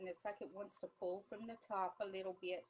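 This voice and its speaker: A woman speaks quietly at a medium pitch. Her pace is moderate. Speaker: crafter demonstrating epoxy tumblers. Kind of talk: live stream tutorial. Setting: live stream. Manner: quiet while concentrating.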